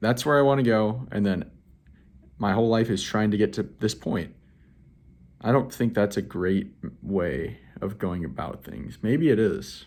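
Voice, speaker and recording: A man's relaxed, fairly low voice with vocal fry and lively intonation, fairly slow with long, frequent pauses, in a very clean recording with a silent background. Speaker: vlogger. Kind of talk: casual monologue to camera. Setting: indoors by a window, talking to camera. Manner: relaxed, natural; filler-heavy, uses like often.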